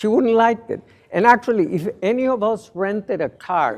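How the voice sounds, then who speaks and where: With a Spanish accent, a man talks at a fairly slow pace with ordinary pitch variation. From Mexico. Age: 60s. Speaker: lawyer and panelist. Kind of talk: panel presentation.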